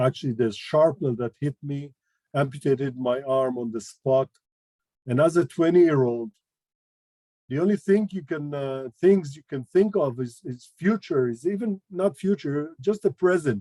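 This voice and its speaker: A man's fairly high voice in a dark, mellow tone, at a moderate pace with lively intonation and big swings in loudness, dry and close with no echo. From Toronto, Canada, then Beersheba, Israel. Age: 60s. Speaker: war veteran. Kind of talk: testimony. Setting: video call. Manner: halting.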